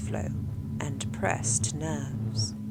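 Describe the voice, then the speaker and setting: A woman's voice with music in the background. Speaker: audiobook narrator. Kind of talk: horror story narration.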